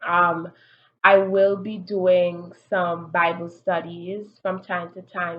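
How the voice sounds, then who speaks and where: Her pitch fairly low for a woman, she speaks with monotone, flat intonation. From Antigua, Caribbean. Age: 40s. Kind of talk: casual vlog introduction. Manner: hesitant with fillers.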